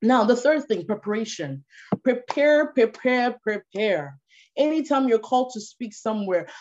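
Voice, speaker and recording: A woman speaks in a Ghanaian accent at a fairly high pitch. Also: lively intonation, moderate pace. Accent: Ghanaian, kept after moving to Canada. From Ghana (Tema). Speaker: policy analyst and speaker. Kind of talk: online talk or webinar presentation.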